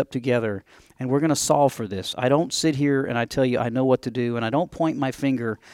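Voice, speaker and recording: A man with an American accent speaks at medium pitch and a moderate pace. The recording is very clean with a silent background and a dry, close sound with no echo. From upstate New York. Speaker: chief engineer, Navy veteran. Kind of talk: casual interview.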